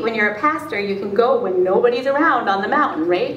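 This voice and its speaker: A woman talks at a very fast pace with very wide pitch swings. The room echo is audible, and there is light background noise. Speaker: pastor. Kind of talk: spoken word sermon. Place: church. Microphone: camera far.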